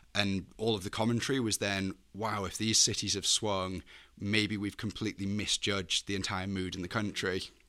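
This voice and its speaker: A man's fairly low, bright and sharp voice, monotone and flat, at a moderate pace, on a very clean recording with a silent background. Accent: northwest English. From northwest England, Chester. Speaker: graduate student, Leave voter. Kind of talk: interview.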